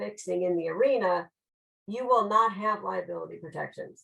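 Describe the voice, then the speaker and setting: A woman with an American accent speaks at medium pitch and a fairly quick pace. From Chicago, US Midwest. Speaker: lawyer. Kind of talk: webinar lecture. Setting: online webinar. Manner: fast.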